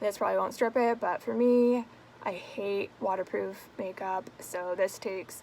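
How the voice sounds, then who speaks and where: Mumbling, a woman speaks at a fairly slow pace. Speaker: beauty vlogger. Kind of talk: casual talk to camera, product review. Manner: casual, swearing.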